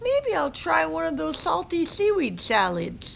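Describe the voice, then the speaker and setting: A woman performs a put-on character voice at a moderate pace against clear background noise. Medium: read story.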